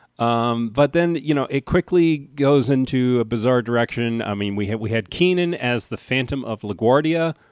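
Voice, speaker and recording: A man with an ordinary speaking voice and an American accent talks at a medium pitch and moderate pace, with ordinary pitch variation and hardly any pauses. The sound is dry and close with no echo, over a quiet background. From New Jersey. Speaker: podcast host, comedian. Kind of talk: casual chat.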